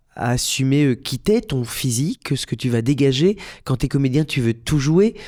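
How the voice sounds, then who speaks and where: On a very clean recording with a silent background, a man with a fairly high pitch speaks at a fairly slow pace and with lively intonation. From Belgium. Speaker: musical theatre actor and director. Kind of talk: podcast interview. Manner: hesitant, many fillers and repetitions.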